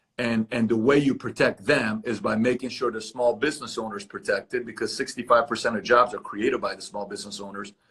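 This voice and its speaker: A man's medium-pitched voice at a very fast pace, with hardly any pauses and ordinary pitch variation. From Iran. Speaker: entrepreneur interviewer. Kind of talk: interview conversation. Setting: video call from office.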